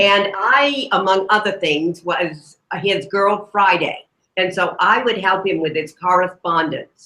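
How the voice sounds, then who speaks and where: The voice is loud and animated, bright and sharp in tone, with ordinary pitch variation at a fairly slow pace. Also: woman, medium pitch for a woman. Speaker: retired librarian. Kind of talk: informal talk.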